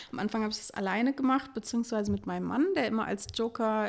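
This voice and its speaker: A woman rattles off her words very fast in a fairly high voice whose pitch varies in an ordinary way. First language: French and German (bilingual) (speaking German). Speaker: wedding planner and podcast co-host. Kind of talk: casual interview.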